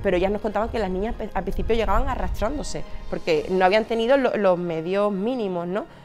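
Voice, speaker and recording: Music plays in the background. A woman speaks at a very fast pace. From Andalusia, Seville. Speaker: charity regional manager. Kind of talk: interview testimony. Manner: halting, many fillers.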